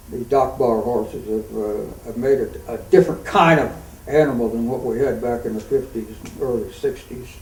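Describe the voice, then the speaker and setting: Over noticeable background noise, a man speaks at medium pitch and a moderate pace, with ordinary pitch variation. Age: 80s+. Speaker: cutting horse trainer. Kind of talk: interview answer.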